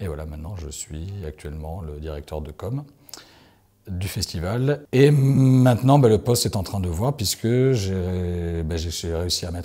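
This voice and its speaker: A man's dark, mellow tone carries lively intonation. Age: 30s. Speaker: festival communications director. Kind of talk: interview. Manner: hesitant, many fillers. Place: classroom.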